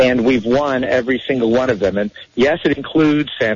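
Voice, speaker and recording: Noticeable background noise sits behind a man talking at a fairly quick pace, his medium pitch showing ordinary variation. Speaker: national spokesperson and activist. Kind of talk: radio interview. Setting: phone call.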